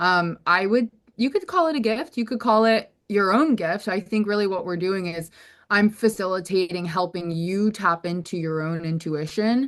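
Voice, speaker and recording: This woman has a plain, everyday voice at a medium pitch, with an American accent, ordinary pitch variation and a moderate pace. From US South. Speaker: somatic coach. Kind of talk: casual chat. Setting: video call.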